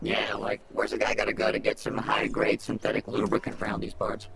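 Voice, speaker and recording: Using a raspy, put-on character voice, a man rattles along very fast over clear background noise. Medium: machinima. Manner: sarcastic, smug.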